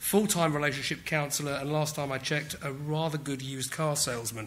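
With a British accent, a man speaks at a fairly high pitch. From England. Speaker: technology executive. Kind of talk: conference talk. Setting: stage with audience. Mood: light, self-deprecating humour. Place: hall. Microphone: podium.

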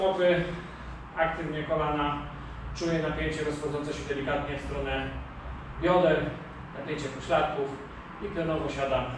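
Moderate pace with monotone, flat intonation and long, frequent pauses, amid strong room echo and noticeable background noise. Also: man. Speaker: fitness trainer. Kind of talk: tutorial. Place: home room. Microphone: camera far.

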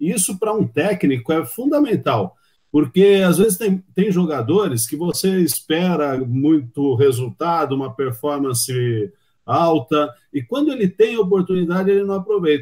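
Against a quiet background, a man with an ordinary speaking voice speaks at a fairly slow pace, fairly high in pitch, with lively intonation. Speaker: sports commentator. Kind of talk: casual interview. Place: home room.

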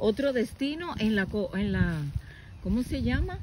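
A woman's very slow speech, dry with no echo, over light background noise. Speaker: nature vlogger. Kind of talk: casual vlog chat. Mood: warm, delighted. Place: open country. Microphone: phone near.

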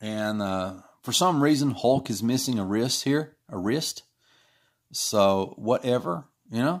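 In a very clean recording with a silent background, a man at a medium pitch talks fairly slowly with lively intonation. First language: not English. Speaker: comic artist and livestream host. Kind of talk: casual livestream while drawing. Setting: live stream, home studio. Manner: informal, hesitant, with many fillers.

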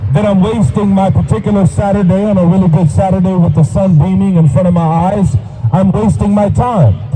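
Noticeable background noise sits behind the voice. The pace is moderate. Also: man. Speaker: street preacher. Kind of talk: sermon. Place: street. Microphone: handheld.

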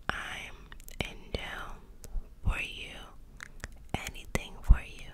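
Soft-spoken and playful, a woman talks at a very slow pace over loud background noise. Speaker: ASMR creator. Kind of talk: soft ASMR roleplay talk. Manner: soft, playful ASMR murmur. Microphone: studio mic.

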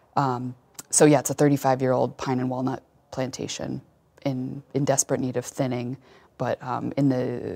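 Her voice is dark and mellow, very deep and low for a woman, and she speaks at a moderate pace. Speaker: pig farmer. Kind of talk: interview.

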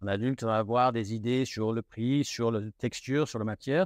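A man speaks with a slight British accent and ordinary pitch variation. The sound is dry and close, with no echo. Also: quiet background. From United Kingdom. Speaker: luxury retail manager. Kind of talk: interview. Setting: in a shop. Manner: halting.

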